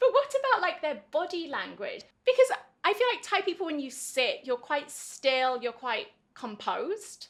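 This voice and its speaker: With a southern English accent, a woman speaks at an extremely high pitch, her voice making very wide pitch swings. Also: moderate pace. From England. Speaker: English teacher. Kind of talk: casual interview chat.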